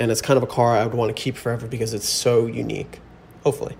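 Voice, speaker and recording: Talking at a very fast pace, a man with an American accent keeps a medium pitch in a monotone, flat intonation marked by vocal fry. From New Jersey. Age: 20s. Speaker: caller. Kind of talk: voice memo question.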